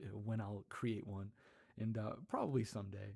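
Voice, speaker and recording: A somewhat breathy, fairly low male voice of dark, mellow tone. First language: Spanish. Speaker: ASMR content creator. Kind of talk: casual livestream chat. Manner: halting, many fillers.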